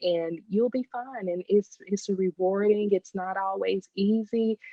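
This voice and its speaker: A woman speaks with a strong Southern US accent. Her pitch varies in an ordinary way. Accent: deep Southern. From Texas. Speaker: business owner. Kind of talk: interview podcast.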